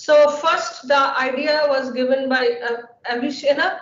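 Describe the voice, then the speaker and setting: High in pitch, a woman's voice moves at a fairly slow pace. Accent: Bengali. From India, Bengal. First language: Bengali. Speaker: scientist. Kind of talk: lecture. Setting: webinar. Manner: halting, many fillers.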